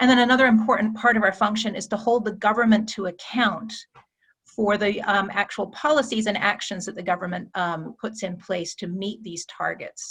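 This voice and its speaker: A woman with an American accent and an ordinary speaking voice, fairly high in pitch, with fairly even intonation at a moderate pace. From United States. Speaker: climate policy expert. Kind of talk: presentation in online meeting. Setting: video call.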